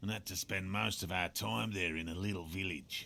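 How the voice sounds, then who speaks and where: A man does a put-on character voice that is raspy and very deep. He keeps a moderate pace with lively intonation. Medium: video game. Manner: pompous, lecturing.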